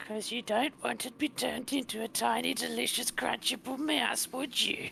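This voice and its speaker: Squeaky and put-on, this character voice keeps a moderate pace over clear background noise. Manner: menacing, teasing.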